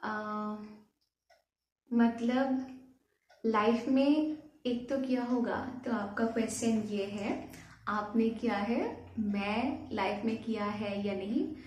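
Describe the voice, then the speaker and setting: A woman with a Bengali accent speaks at a fairly high pitch with fairly even intonation. Her speech has long, frequent pauses, and room echo is audible. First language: Bengali (speaking Hindi). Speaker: YouTuber. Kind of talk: Q&A vlog. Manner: halting, many fillers.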